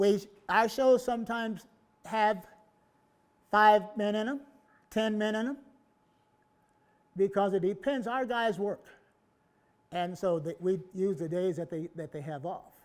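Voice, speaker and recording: A man with an American accent talks at a high pitch and a fairly slow pace, with ordinary pitch variation and long, frequent pauses. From US West. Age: 80s+. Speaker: historical reenactment group founder. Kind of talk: public presentation. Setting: museum event with audience.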